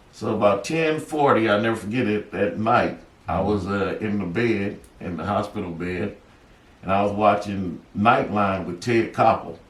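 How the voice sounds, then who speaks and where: In a room with audible echo, a man with a fairly low pitch talks at a moderate pace with ordinary pitch variation. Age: 60s. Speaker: author sharing near-death experiences. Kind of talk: interview storytelling. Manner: halting, many filler words.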